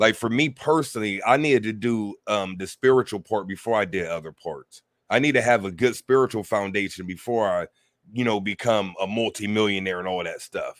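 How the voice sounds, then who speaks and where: With an American accent, a man with a plain, everyday voice talks at a fairly quick pace, his fairly low pitch varying in an ordinary way. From United States. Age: 40s. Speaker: spiritual teacher. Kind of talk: interview. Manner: casual.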